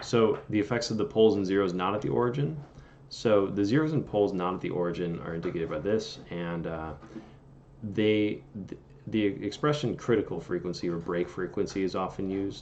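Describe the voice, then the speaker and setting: This man has an unremarkable speaking voice with a fairly low pitch. He talks at a fairly quick pace with lively intonation. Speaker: engineering tutor on video channel. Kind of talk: tutorial.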